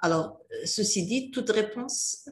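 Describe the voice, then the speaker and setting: Somewhat breathy and full of lively intonation, a woman speaks at a very slow pace with audible room echo. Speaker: university lecturer. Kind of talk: recorded lecture. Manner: halting, many filler hesitations.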